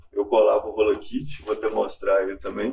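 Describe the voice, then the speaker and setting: A man speaking at a moderate pace. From Contagem, Minas Gerais, Brazil. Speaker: graphic artist and street artist. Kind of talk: talk with slides. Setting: university auditorium. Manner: halting.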